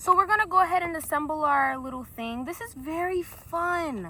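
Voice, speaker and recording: A woman with an American accent and a high pitch raises and projects her voice at a fairly slow pace with lively intonation over noticeable background noise. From South Carolina. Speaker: vlogger. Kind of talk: casual vlog monologue. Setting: outdoors. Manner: loud; animated.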